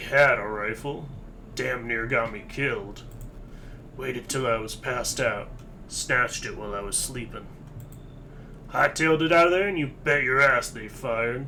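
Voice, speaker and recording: With clear background noise, a man in a put-on character voice at medium pitch takes long, frequent pauses and swings widely in loudness. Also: moderate pace. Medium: video game. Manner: gruff, folksy drawl.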